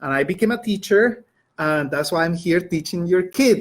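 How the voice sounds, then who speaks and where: High-pitched male voice with a Colombian accent and ordinary pitch variation. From Colombia, Bogota. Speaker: high school Spanish teacher. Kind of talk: educational webinar. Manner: conversational with frequent fillers.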